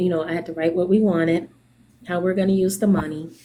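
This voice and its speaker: Quiet and fairly low in pitch, a woman talks with fairly even intonation. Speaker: small business owner. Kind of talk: casual chat. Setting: video call from a doctor's appointment. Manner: speaking quietly.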